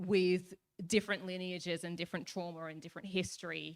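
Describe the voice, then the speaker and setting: With an Australian accent, a woman is speaking. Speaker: youth panelist. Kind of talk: panel discussion. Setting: stage with audience. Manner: loud.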